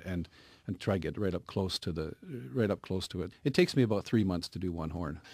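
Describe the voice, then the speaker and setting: The speaker has a Canadian accent and talks at a very fast pace. The recording is very clean, with a silent background and a dry, close sound with no echo. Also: man, very deep, low pitch for a man, ordinary pitch variation. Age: 60s. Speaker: woodcarver. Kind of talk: radio interview. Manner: halting, many repeated words.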